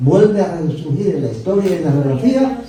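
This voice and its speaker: A man with a high pitch and very wide pitch swings, amid audible room echo and noticeable background noise. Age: 70s. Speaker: bible teacher. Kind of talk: lecture.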